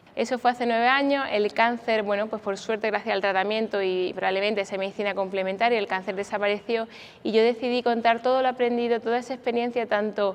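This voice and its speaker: A woman with a fairly high pitch, fairly even intonation and a fairly quick pace over a quiet background. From Spain, Granada (Andalusia). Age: 40s. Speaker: doctor and cancer survivor speaker. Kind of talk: conference talk.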